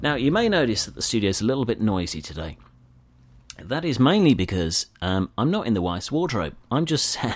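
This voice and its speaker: With a British accent, a man speaks at a fairly quick pace in a medium pitch, with vocal fry. His tone is upbeat and warm, and his pitch swings very widely. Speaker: podcast host. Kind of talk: radio DJ patter, a chatty scripted-sounding intro with sign-off. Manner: upbeat, warm and chatty, easygoing presenter style; bright, friendly, with casual fillers and jokes to the listener.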